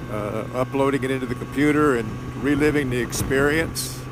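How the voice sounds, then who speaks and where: A man talks in a relaxed tone. Noticeable background noise can be heard. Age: 70s. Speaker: motorcycle vlogger. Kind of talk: casual monologue. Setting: riding a motorcycle, helmet mic. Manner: relaxed, hesitant with fillers.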